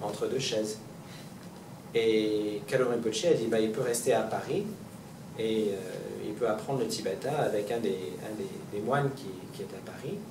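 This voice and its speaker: A man speaks at a fairly slow pace with long, frequent pauses. Noticeable background noise and audible room echo fill the recording. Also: medium pitch for a man, ordinary pitch variation. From Montreal, Quebec. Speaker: Buddhist reincarnated teacher giving a talk. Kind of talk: public talk. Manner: halting, many repetitions and fillers.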